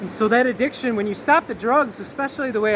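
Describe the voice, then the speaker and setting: Noticeable background noise runs beneath speech delivered at a moderate pace. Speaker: wellness vlogger. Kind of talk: casual vlog monologue. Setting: outdoors. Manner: rambling, self-correcting; loud.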